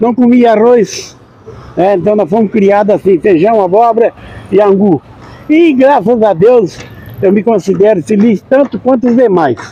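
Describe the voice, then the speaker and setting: Noticeable background noise sits under a man's high-pitched voice with ordinary pitch variation. He speaks at a fairly slow pace with long, frequent pauses. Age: 70s. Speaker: accordion player. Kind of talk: interview.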